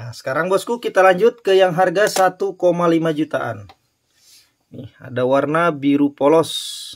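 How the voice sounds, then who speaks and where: A man's high-pitched voice at a fairly slow pace, with lively intonation and big swings in loudness. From Indonesia. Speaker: online gemstone and ring seller. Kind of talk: sales product showcase. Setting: online live stream, showing items to camera. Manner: upbeat, salesy, urging viewers to act now. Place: shop. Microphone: phone near.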